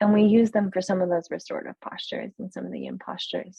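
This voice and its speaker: The voice is somewhat breathy, its intonation fairly even. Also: woman. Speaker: yoga therapist. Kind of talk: interview. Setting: podcast. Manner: soft-spoken.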